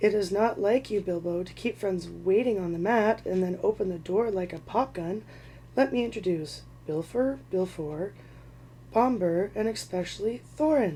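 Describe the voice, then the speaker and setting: A woman's raspy put-on character voice at medium pitch and a moderate pace, with clear background noise. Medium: read story. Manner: jovial, teasing.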